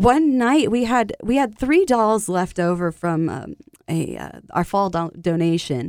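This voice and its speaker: A woman with a plain, everyday voice speaks at a fairly slow pace with lively intonation. The recording is very clean, with a silent background. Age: 30s. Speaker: childhood cancer survivor and charity founder. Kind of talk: interview.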